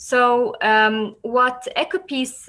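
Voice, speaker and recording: Ordinary pitch variation in a woman's speech. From Palestine. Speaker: environmental NGO director. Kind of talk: presentation. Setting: video call. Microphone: webcam.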